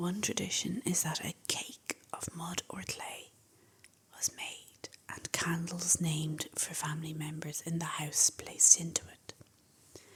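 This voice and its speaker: Someone whispers at a fairly slow pace in an Irish accent. Background noise is noticeable. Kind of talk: ASMR fact talk. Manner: whispered.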